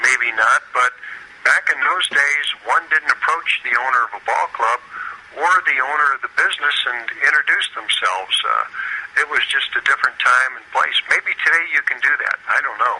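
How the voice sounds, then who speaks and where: Over noticeable background noise, a man talks at a moderate pace with a Midwestern American accent. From US Midwest, St. Louis. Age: 60s. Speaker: retired baseball pitcher. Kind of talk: interview.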